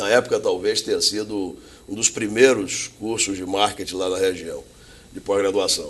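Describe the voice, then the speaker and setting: Big swings in loudness from a man at a moderate pace. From northeastern Brazil (Salvador, Bahia; teens in Recife). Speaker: logistics company executive. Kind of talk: interview.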